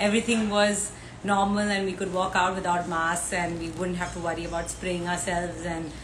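A woman with a fairly low pitch speaks in a flat monotone over noticeable background noise. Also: fairly quick pace. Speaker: live show host. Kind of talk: casual livestream introduction. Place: home room. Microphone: earbuds.

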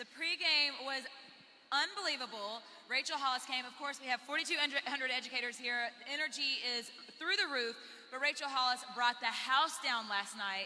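A woman uses a raised, projected voice. Her pace is moderate. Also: ordinary pitch variation. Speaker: conference co-host. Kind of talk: live stage interview answer. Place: hall. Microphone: handheld.

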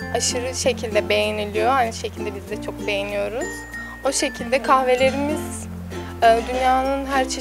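A woman at a moderate pace, dry sound with no echo, and clear music in the background. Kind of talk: interview answer. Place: cafe. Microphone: handheld.

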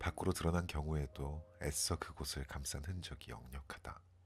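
At a fairly slow pace, the speaker uses ordinary pitch variation while music plays in the background. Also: man. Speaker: poetry reader, ASMR channel host. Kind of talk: poetry reading, sleep-aid ASMR.

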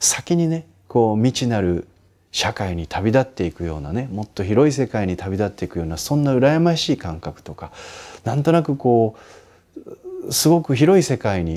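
A man's dark, mellow tone at a moderate pace, with very wide pitch swings. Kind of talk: advice talk answering a listener's letter. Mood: warm, gently smiling. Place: home room. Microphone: lapel.

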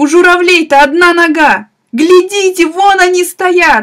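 A woman speaks with ordinary pitch variation. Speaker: audiobook narrator. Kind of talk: audiobook reading of classic literature.

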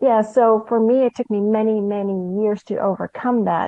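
This woman talks at a moderate pace, her pitch fairly high. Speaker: soul empowerment coach. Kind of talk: interview. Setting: phone call. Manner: calm.

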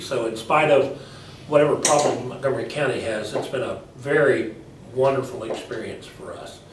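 Over noticeable background noise and audible room echo, a man with an American accent talks at a moderate pace. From Texas. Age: 60s. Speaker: political candidate. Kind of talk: interview. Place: meeting room. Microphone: camera far.

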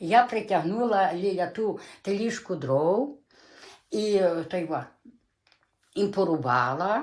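At a very slow pace, a woman speaks with long, frequent pauses. Her medium-pitched voice has lively intonation. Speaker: dialect informant. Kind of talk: oral history interview. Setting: dialect field recording. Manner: halting.

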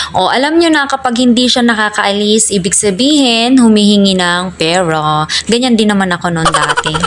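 Over noticeable background noise, a woman speaks with a fairly high pitch and lively intonation. Her pace is moderate and her loudness very even. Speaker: vlogger and teacher. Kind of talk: casual vlog narration.

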